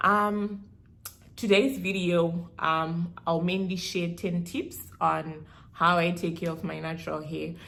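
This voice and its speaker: A woman with a Zimbabwean accent speaks very slowly at a fairly low pitch. Her intonation stays fairly even, and the room echo is audible. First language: Shona. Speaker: beauty vlogger. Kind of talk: hair care tutorial vlog. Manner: casual, code-switching with Shona.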